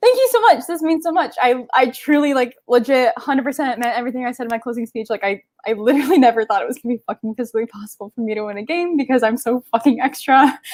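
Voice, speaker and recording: In a dry, close sound with no echo, a woman speaks at a very fast pace with hardly any pauses. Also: ordinary pitch variation. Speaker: online reality game winner. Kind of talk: emotional acceptance speech.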